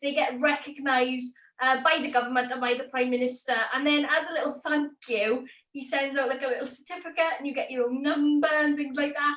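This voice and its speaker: A woman with a strong Welsh accent and a high pitch talks at a fairly quick pace. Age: 20s. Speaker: YouTube creator. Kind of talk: interview. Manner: animated.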